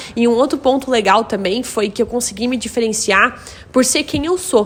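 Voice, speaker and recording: Here a woman speaks with a high pitch and ordinary pitch variation. Background noise is noticeable. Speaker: content creator and English teacher. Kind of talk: casual talk to camera. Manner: fast.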